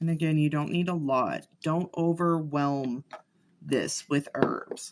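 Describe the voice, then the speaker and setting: The voice moves at a very slow pace. It is quiet. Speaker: spell-work livestreamer. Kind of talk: live tutorial. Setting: livestream.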